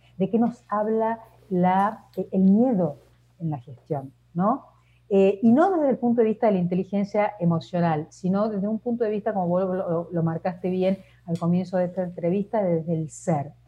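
A woman speaks at a moderate pace in a medium pitch, her voice somewhat breathy, with ordinary pitch variation. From Argentina. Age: 50s. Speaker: leadership coach and consultant. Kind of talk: interview.

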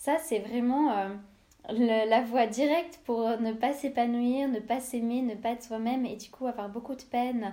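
Delivered at a fairly slow pace, the speech has fairly even intonation. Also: woman. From Switzerland, Lausanne. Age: 20s. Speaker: podcaster. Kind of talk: personal monologue podcast. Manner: hesitant, many fillers.

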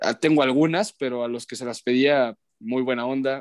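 A man with an unremarkable speaking voice talks at medium pitch with fairly even intonation. The recording is very clean, with a silent background and a dry, close sound with no echo. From León, Guanajuato, Mexico. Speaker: sports broadcaster. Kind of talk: casual chat.

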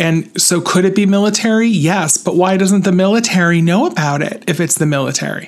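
Noticeable background noise sits under a man with an American accent. His voice is high and shows ordinary pitch variation at a fairly quick pace. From upstate New York. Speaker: radio show host. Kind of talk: casual chat.

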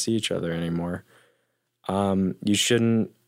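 Over a silent background on a very clean recording, a man with an ordinary speaking voice talks at a fairly slow pace and a fairly low pitch. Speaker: podcast guest, host's boyfriend.

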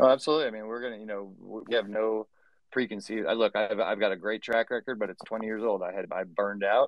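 At a very fast pace, a man talks with fairly even intonation but big swings in loudness. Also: fairly low pitch for a man. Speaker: digital artist and CG educator. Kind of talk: casual chat. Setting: studio.

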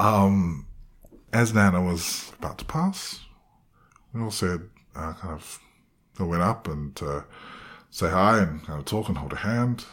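With a New Zealand accent, a man talks at a fairly slow pace in a very deep, low pitch, with ordinary pitch variation and long, frequent pauses. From New Zealand, of Cook Islands heritage. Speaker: playwright and actor. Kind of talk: casual interview. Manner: animated.

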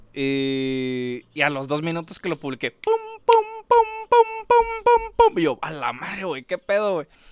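Delivered at a fairly slow pace, the speech breaks off often into long pauses, and the sound is dry and close with no echo. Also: man. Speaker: podcast co-host. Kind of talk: casual chat. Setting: outdoors.

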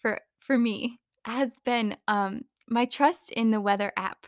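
Her tone animated and her pitch high, a woman with an American accent speaks in a dry, close sound with no echo. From US Southwest, Phoenix, Arizona. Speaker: podcast host. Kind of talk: casual monologue. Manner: animated, frequent laughter.

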